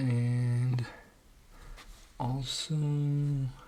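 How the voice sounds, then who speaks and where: A quiet, somewhat breathy male voice at medium pitch, dark and mellow in tone, with monotone, flat intonation. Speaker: amateur reader and YouTuber. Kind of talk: casual intro before reading aloud. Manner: halting, with many fillers and restarts.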